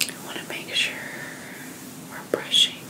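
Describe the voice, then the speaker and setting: Everything here is whispered. The speaker is a woman. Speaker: ASMR creator. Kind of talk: soft ASMR narration. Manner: soft, hushed ASMR voice. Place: home room. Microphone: studio mic.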